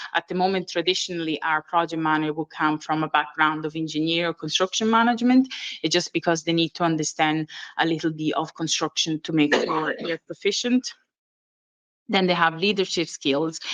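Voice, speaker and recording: Speaking at a fairly quick pace, a woman with an Italian accent has a fairly low pitch and ordinary pitch variation, heard dry and close with no echo over a quiet background. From Italy. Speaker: training and development manager. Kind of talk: conference presentation. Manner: hesitant, many fillers.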